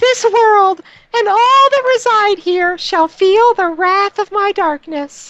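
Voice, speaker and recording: A put-on character voice at an extremely high pitch speaks in a menacing tone at a fairly slow pace. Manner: menacing, grandiose.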